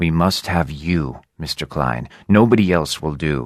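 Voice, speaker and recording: A man growls in a put-on character voice with a very deep, low pitch. He moves at a fairly slow pace with ordinary pitch variation. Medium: read story. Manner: smooth, persuasive.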